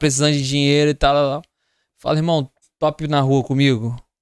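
A man with an ordinary speaking voice talks fairly quickly at a fairly high pitch. The background is quiet and the sound dry, with no echo. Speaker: podcast co-host. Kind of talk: casual chat. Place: studio. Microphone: studio mic.

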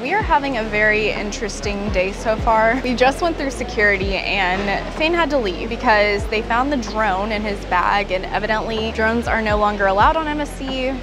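A woman at a moderate pace with hardly any pauses, ordinary pitch variation, and music in the background. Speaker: travel vlogger. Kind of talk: casual vlog chat. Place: station.

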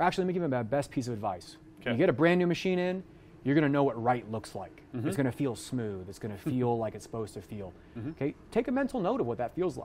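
A man talks at a very fast pace with very wide pitch swings. Light background noise can be heard. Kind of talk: interview answer. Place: workshop. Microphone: lapel.

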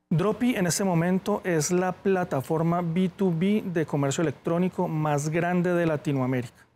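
With hardly any pauses, a man speaks at a fairly slow pace in a dark, mellow tone at a high pitch with ordinary pitch variation. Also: very even loudness. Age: 30s. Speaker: e-commerce entrepreneur; guest. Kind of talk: interview. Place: studio. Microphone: lapel.

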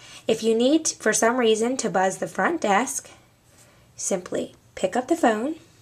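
The pace is fairly slow. A woman is speaking. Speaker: office staff trainer. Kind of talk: tutorial. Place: office. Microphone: camera far.

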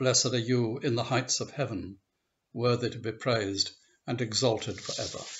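Somewhat breathy, a man speaks at medium pitch with fairly even intonation. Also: moderate pace. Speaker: service leader. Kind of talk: liturgical prayer, read aloud from a set service text. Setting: church service recorded for online video. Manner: measured, solemn, reverent pace with even cadence. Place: home room. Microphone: webcam.

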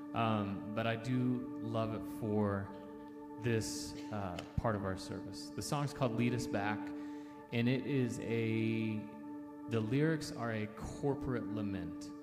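A man at a very slow pace, with long, frequent pauses, over loud music in the background. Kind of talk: spoken introduction to a song in a church service. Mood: calm, reflective. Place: hall. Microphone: handheld.

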